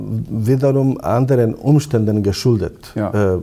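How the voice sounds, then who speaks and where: A man speaks with a Bosnian accent at a medium pitch, his pitch rising and falling in an ordinary way. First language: Bosnian (speaking German). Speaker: imam and Islamic theologian. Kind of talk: interview. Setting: on location at a university institute. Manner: hesitant, many fillers.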